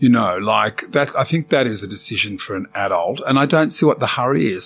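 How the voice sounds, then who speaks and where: A man with an Australian accent speaks at a moderate pace with ordinary pitch variation. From Sydney, Australia. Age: 60s. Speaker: celebrity hairdresser. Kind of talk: interview.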